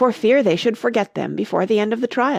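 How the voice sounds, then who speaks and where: A woman in a put-on character voice, raspy and fairly high-pitched, at a fairly quick pace. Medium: read story.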